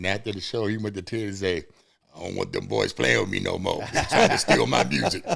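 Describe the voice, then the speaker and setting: With an American accent, a man speaks at a fairly quick pace in a fairly low-pitched voice. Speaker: musician. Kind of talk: interview.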